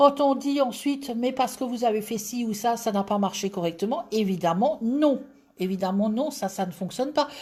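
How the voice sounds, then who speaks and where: On a very clean recording with a silent background, a woman with an Alsatian accent speaks at a moderate pace. Her tone is dark and mellow, somewhat breathy, with lively intonation. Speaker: tarot reader. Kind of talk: live stream chat.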